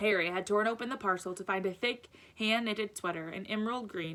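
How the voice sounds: Everything is read in a natural reading voice.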